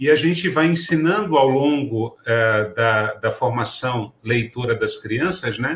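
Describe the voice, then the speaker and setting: Speaking at a very slow pace with hardly any pauses, a man uses a medium pitch and lively intonation. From Pernambuco, Brazil. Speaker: writer and teacher. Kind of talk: talk to educators.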